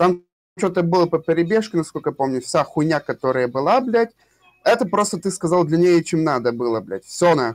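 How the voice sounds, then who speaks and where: High in pitch, a man's voice sounds dry and close with no echo. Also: lively intonation, fairly quick pace. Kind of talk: heated debate. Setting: voice chat during game raid.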